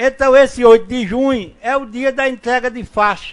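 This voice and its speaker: A man speaks at a fairly slow pace. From Brazil, Ceará (Tabuleiro do Norte). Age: 60s. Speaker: local author and speaker at book launch. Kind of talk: public speech.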